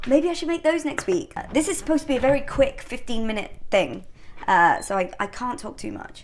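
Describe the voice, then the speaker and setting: A woman's high voice at a fairly quick pace, with very wide pitch swings. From northern England. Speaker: home baking vlogger. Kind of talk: casual cooking vlog chat. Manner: chatty, conversational with fillers.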